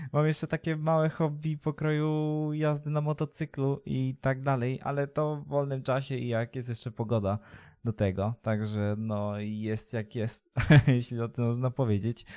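Dry and close with no echo, a dark, mellow tone comes through at a moderate pace. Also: man, medium pitch for a man, ordinary pitch variation, very clean recording, silent background. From Poland, Leszno, Greater Poland. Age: 20s. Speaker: streamer and vlogger. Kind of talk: casual vlog to camera. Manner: halting, many fillers.

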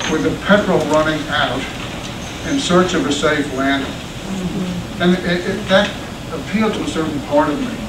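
Noticeable background noise runs under this recording. A man speaks at a fairly slow pace. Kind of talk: farewell speech to staff. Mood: reflective, wry. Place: classroom. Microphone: camera far.

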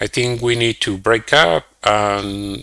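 Against a quiet background, a man talks at a very slow pace with fairly even intonation. His tone is bright and sharp, and the sound is dry with no echo. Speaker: guest. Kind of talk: interview answer. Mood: subdued, reflective about breakup. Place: home room. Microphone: headset.

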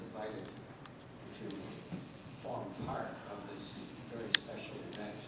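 A man's voice amid loud background noise and audible room echo. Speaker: karate practitioner. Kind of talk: award acceptance speech. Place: hall. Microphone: pa.

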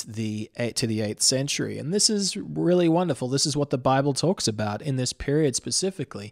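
Against a quiet background, a man talks at a fairly quick pace. His intonation is lively. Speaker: podcast host. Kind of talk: podcast monologue. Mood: enthusiastic. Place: office. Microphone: studio mic.

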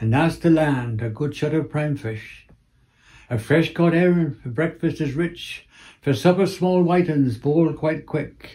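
In a Cornish accent, a man speaks fairly slowly with a fairly high pitch, a dark, mellow tone and ordinary pitch variation against a quiet background. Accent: Cornish (West Cornwall). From Cornwall. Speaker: retired museum curator and dialect poet; dialect poet. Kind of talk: poetry reading. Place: home room. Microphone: phone near.

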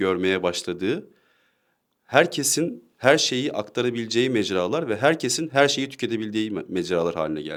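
A man with a plain, everyday voice speaks at medium pitch and a moderate pace with lively intonation, on a very clean recording with a silent background. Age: 20s. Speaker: discussion partner. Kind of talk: casual discussion.

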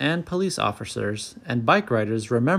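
The text is read in a natural reading voice. Nothing else is added to the delivery.

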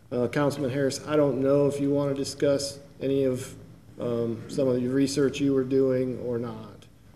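Audible room echo surrounds a man whose dark, mellow tone shows little pitch movement. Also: medium pitch for a man, moderate pace.

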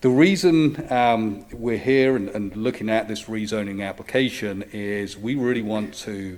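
With an English accent, a man speaks at a fairly slow pace. His pitch sits fairly low and varies an ordinary amount. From England. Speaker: university real estate director presenting to a zoning board. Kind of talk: public hearing presentation. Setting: public meeting room at a podium. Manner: loud; hesitant, many fillers.

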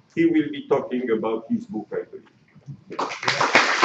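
Noticeable background noise runs beneath a man who speaks at a very slow pace. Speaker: conference moderator. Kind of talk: formal introduction. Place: hall.

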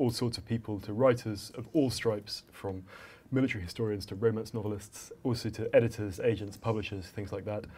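At a fairly quick pace, a man with a somewhat breathy voice speaks with fairly even intonation. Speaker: podcast co-host. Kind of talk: live interview. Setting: stage with audience. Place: hall.

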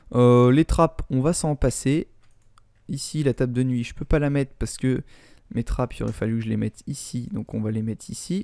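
At a moderate pace, a man speaks at a medium pitch in a dark, mellow tone with ordinary pitch variation and a dry, close sound with no echo. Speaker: Minecraft YouTuber. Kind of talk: gameplay commentary.

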